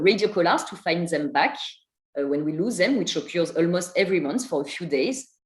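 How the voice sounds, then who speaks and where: At a fairly quick pace, a woman speaks in a somewhat breathy, medium-pitched voice with lively intonation. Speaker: primatologist, field researcher. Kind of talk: online seminar talk read from a script. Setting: online video seminar. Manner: reading from a prepared text.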